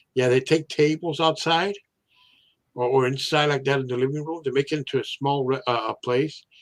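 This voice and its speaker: Fairly quick and fairly even in intonation, a man speaks at a fairly high pitch. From Mexican-American family from Sinaloa, Mexico. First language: Spanish. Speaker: live stream host. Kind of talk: casual chat. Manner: halting, many fillers and repetitions.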